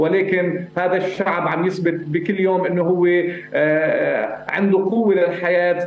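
A man with a high pitch speaks very slowly in a monotone, flat intonation at a very even loudness, with audible room echo and light background noise. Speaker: actor. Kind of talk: interview answer. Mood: earnest, serious. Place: home room. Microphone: earbuds.

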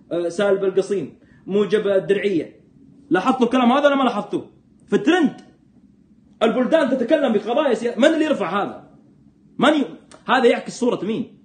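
Audible room echo carries a man's high-pitched voice, animated in tone, with lively intonation at a moderate pace. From Saudi Arabia, Jeddah; Saudi Arabia. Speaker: political commentator. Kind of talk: live stream commentary. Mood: sarcastic, animated, critical. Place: home room. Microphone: phone near.

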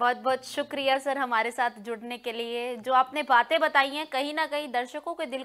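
A woman's high-pitched voice at a fairly slow pace, with fairly even intonation and hardly any pauses. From Haryana (Rohtak); Haryana, India. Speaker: news anchor and interviewer; news anchor, interviewer. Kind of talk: interview. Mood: warm, polite. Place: studio.

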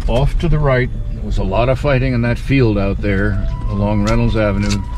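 Heard against loud background noise, a man's voice comes across dry with no echo. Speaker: Civil War history guide. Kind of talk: battlefield tour narration. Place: car. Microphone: phone near.

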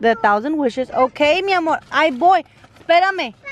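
A woman's voice over light background noise. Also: dry sound with no echo. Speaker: vlogger mom. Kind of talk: casual vlog.

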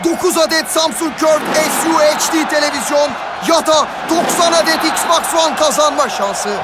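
A man speaks in a monotone, flat way at a moderate pace, with noticeable background noise around him. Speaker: sports announcer. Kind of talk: TV commercial read.

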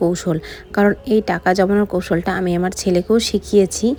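A woman's medium-pitched, monotone, flat delivery over noticeable background noise. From West Bengal, Alipurduar. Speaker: vlogger. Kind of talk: daily vlog voiceover. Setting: at home. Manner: casual, chatty.

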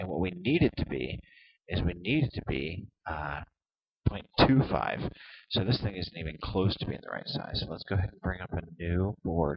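Very deep and low, a man's somewhat breathy voice moves at a moderate pace. His intonation is lively, with big swings in loudness. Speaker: software tutorial video maker. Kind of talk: tutorial. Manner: hesitant, many fillers.

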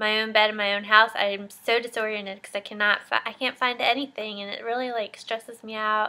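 A woman's monotone, flat intonation holds at a moderate pace. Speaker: mom vlogger. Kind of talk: casual vlog chat. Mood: chatty, a bit exasperated. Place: home room. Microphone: webcam.

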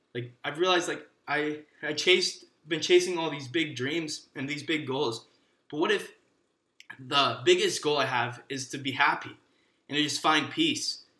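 A man with an American accent speaks at a moderate pace in a bright, sharp tone. Room echo can be heard around him. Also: fairly even intonation. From Michigan, USA. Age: 20s. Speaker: actor. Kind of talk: casual podcast monologue. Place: home room.

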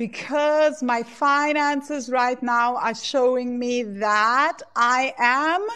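A woman speaks in a high, bright, sharp tone with ordinary pitch variation over a quiet background. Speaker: course founder and money coach. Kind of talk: guided EFT tapping meditation, leading students through statements. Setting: live class recording replay. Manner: calm, slow, soothing; instructive, repetitive phrasing. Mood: emotional, slow, affirming. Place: home room. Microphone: earbuds.

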